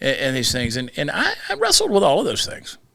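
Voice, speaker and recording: With a Southern US accent, a man speaks in a bright, sharp tone. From US South, Georgia. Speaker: comedian. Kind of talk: casual chat. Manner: fast.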